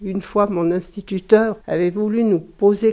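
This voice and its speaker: Her tone dark and mellow, a woman talks at a medium pitch and a fairly slow pace with fairly even intonation. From France, Savoie. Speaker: village mayor. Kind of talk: interview.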